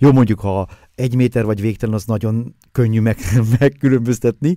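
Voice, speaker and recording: A man's dark, mellow voice sits at medium pitch with ordinary pitch variation. The recording is very clean, with a silent background and a dry, close sound with no echo. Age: 60s. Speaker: photographer and author. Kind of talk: casual chat. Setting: studio.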